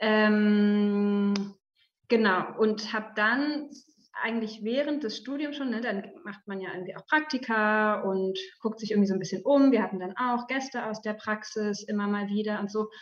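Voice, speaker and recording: Somewhat breathy, a woman speaks at a fairly high pitch. Her pace is moderate and her pitch variation ordinary. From Germany, Berlin. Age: 30s. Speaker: media development researcher. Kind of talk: talk to journalism students. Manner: many filler sounds and restarts.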